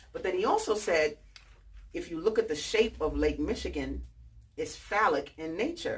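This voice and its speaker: Speaking with a New York accent, a woman keeps a moderate pace. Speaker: author and book fair founder. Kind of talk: talk to an audience. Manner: animated.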